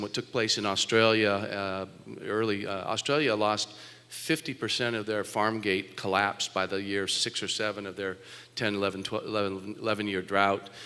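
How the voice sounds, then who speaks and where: A man speaks at a moderate pace with an American accent, his pitch fairly low. His intonation stays flat and monotone. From California, Orange County. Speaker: farmer and former state agriculture official. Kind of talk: panel talk. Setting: stage with audience. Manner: halting.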